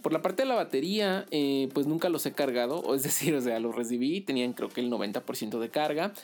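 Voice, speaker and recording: A man's fairly high voice with lively intonation, music in the background. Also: moderate pace. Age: 30s. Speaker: tech podcaster. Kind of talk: solo podcast monologue. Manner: hesitant, many fillers.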